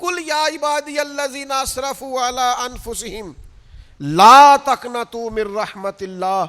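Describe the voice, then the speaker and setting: A man speaks in a raised, projected voice at an extremely high pitch for a man, with ordinary pitch variation. Noticeable background noise sits behind him. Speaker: Islamic preacher. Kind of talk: religious sermon (bayan).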